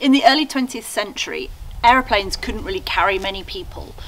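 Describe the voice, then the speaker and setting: Over light background noise, a woman speaks with very wide pitch swings. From England, Norfolk. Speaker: YouTuber restoring a chateau. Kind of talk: guided tour video. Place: garage. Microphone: camera far.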